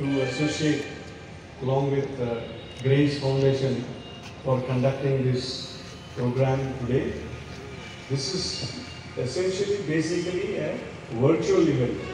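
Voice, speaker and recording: A man speaks at a fairly slow pace with fairly even intonation and long, frequent pauses. Strong room echo and noticeable background noise surround him. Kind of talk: public speech. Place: street.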